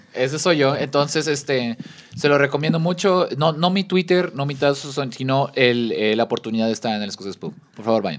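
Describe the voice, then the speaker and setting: A man with a fairly high pitch and lively intonation speaks over noticeable background noise. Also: moderate pace. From Mexico, Baja California Sur (La Paz). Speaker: podcast guest. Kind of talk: casual chat.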